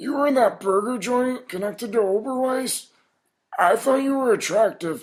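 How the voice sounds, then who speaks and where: A man in a put-on character voice pitched high. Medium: comedy sketch. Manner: uncertain questions.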